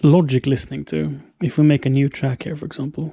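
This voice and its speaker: A man speaks at a moderate pace with a fairly high pitch and a monotone, flat intonation. His tone is dark and mellow, and somewhat breathy. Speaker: streamer setting up audio gear. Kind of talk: live stream tutorial. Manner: quiet.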